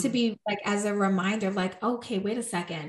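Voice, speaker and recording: With ordinary pitch variation, a woman's voice comes through somewhat breathy. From New York, Puerto Rican family. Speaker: coach and speaker. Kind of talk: interview.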